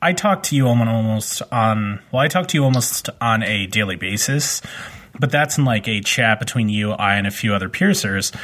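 This man has an ordinary speaking voice at a medium pitch with lively intonation. He keeps a moderate pace and very even loudness. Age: 30s. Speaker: podcast host, professional body piercer. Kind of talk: casual chat.

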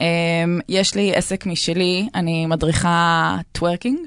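A woman with an ordinary speaking voice talks at a fairly slow pace, her pitch fairly low. The background is quiet. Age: 30s. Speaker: dance instructor, cancer survivor. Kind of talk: casual chat. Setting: radio studio.

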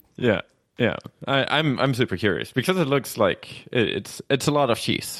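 Speaking with a German accent, a man keeps a moderate pace, ordinary pitch variation and very even loudness. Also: medium pitch for a man. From Germany. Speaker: podcast co-host and conference organizer. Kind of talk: casual chat. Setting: video call.

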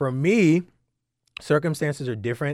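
Ordinary pitch variation marks this voice, delivered with an American accent. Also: man, very clean recording, silent background. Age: 30s. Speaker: fitness and wellness entrepreneur. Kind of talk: interview. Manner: hesitant, many fillers.

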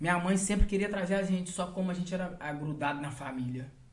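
A high-pitched man with ordinary pitch variation, in audible room echo. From Brazil. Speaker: funk MC. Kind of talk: casual chat.

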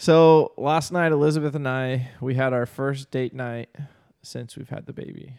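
A man speaks in an ordinary speaking voice at a medium pitch with fairly even intonation. His loudness swings widely. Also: moderate pace. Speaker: podcast co-host. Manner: casual, says dude often.

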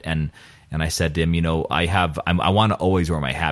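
A man talks at a very fast pace in a very deep, low voice with vocal fry. His pitch variation is ordinary. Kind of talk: casual chat about faith. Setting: studio in a rectory.

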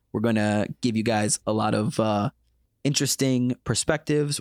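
A man's ordinary speaking voice at a fairly quick pace, dry and close with no echo, on a very clean recording with a silent background. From United States. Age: 20s. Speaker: podcast host. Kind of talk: casual chat.

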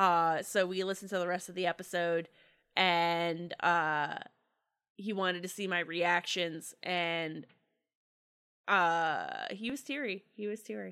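In an American accent, a woman with a fairly low, bright, sharp voice speaks at a fairly slow pace with long, frequent pauses. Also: ordinary pitch variation. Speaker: actual-play podcast performer. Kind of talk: casual chat. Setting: remote call. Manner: animated.

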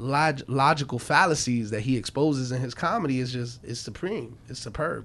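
This man speaks with a New York accent. His pitch is medium, with ordinary pitch variation. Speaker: podcast host. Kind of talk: casual chat.

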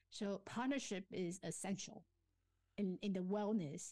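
A woman with a Chinese accent, a dark, mellow tone, a fairly slow pace and fairly even intonation. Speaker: life coach and author. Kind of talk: interview. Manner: self-effacing, hesitant with fillers.

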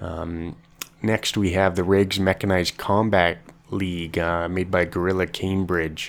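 Speaking fairly slowly with a Canadian accent, a man uses a very deep, low voice and monotone, flat intonation. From Canada. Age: 20s. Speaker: podcast host. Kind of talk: casual solo podcast monologue. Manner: hesitant, many fillers.

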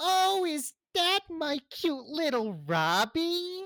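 Someone uses a put-on character voice at an extremely high pitch. The pace is very slow. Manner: playful, menacing.

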